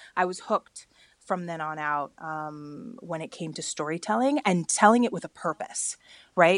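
A woman with an American accent at a fairly low pitch and moderate pace, dry and close with no echo against a quiet background. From California, US (Bakersfield). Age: young. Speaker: media creative director. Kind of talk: interview. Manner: halting, with many fillers and repeats.

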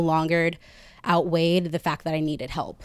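A woman speaks with a fairly low pitch. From Texas, Katy. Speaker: peer support group founder. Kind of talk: personal story before live audience. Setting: apartment with live audience.

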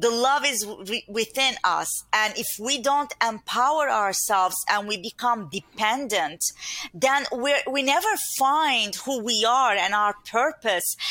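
In a Turkish accent, a woman talks at a fairly slow pace with lively intonation. Her tone is warm and upbeat, her pitch fairly high. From Turkey. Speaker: inner mastery speaker and coach. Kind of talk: casual interview chat. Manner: warm, upbeat, laughs often.

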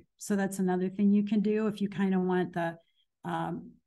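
In an American accent, a woman with a medium pitch and a dark, mellow, somewhat breathy tone speaks at a moderate pace with fairly even intonation against a quiet background. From US Midwest, Danville, Illinois. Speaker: marketing expert. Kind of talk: interview.

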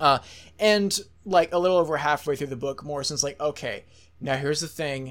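In an ordinary speaking voice, a man talks at a fairly quick pace with fairly high pitch, on a very clean recording with a silent background. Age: 20s. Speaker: podcast host. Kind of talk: casual interview chat.

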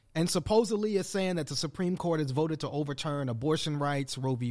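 Recorded very cleanly against a silent background, a man with an American accent and an unremarkable speaking voice talks fairly quickly at a fairly high pitch with ordinary pitch variation. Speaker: co-founder and podcast host. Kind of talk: casual banter podcast on politics and race. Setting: studio with cameras.

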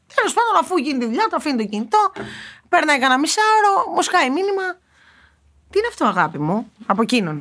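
A woman with a high voice speaks at a fairly quick pace, her pitch swinging very widely, with long pauses coming often. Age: 20s. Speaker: podcast co-host. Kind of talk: casual chat.

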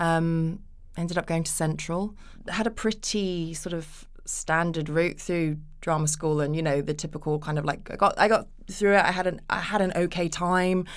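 In a British accent, a woman with a fairly low pitch speaks at a moderate pace. Her intonation is fairly even, and the recording is very clean with a silent background. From England. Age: 30s. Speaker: actress. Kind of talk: casual chat.

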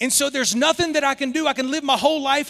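A man talks with a Southern US accent. His pitch is extremely high. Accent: Southern US, somewhat thicker. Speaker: guest preacher. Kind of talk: sermon. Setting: church with congregation.

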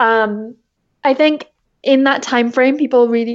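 A woman at a fairly high pitch and a moderate pace. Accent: English. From England. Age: 20s. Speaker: entrepreneur. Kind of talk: interview.

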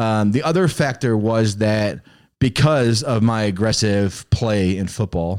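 The speaker uses a normal speaking voice with ordinary pitch variation in a very clean recording with a silent background. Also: man. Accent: American. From Chicago, Illinois. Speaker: pastor's son telling his faith story. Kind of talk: testimony.

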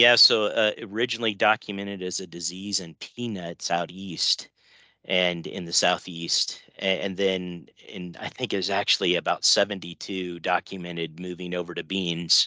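A man with a very deep, low pitch and a bright, sharp tone, in an American accent, at a moderate pace with fairly even intonation, in a dry, close recording with no echo and a quiet background. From West Central Illinois. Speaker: agronomist. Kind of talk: interview.

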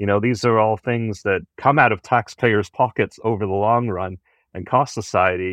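A man with a Canadian accent and a normal speaking voice talks at a moderate pace in a fairly low pitch. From Canada. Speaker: cycling advocacy organization leader. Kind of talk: podcast interview.

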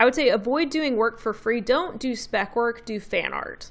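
The speaker has a slight Southern US accent. Pace is moderate, with ordinary pitch variation. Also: woman. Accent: slight Southern twang. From Memphis, Tennessee, US South. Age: 30s. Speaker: brand designer and illustrator. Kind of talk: casual interview.

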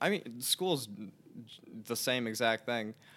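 A man with an American accent uses a plain, everyday voice at a medium pitch and moderate pace. The recording is very clean, with a silent background. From New Jersey (Elizabeth, near Newark). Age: 20s. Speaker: student podcast editor. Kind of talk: casual interview.

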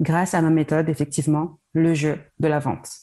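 A woman speaks at a moderate pace in a fairly low pitch with a dark, mellow tone. The background is quiet. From France, Paris region. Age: 30s. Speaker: sales coach. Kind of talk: interview.

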